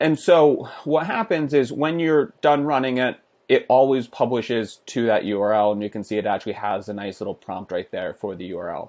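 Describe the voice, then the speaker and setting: A man at medium pitch, fairly quick and with hardly any pauses, lively intonation and big swings in loudness. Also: very clean recording, silent background. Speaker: software QA automation tutor. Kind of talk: tutorial. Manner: fast.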